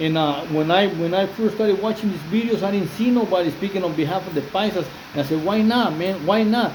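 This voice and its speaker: A man with a Spanish accent talks at a fairly quick pace with hardly any pauses, his high voice showing ordinary pitch variation. Noticeable background noise and audible room echo are present. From Mexico, Jalisco. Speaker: former prisoner, YouTuber. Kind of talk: casual video monologue. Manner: halting, many fillers and repetitions; switches between English and Spanish.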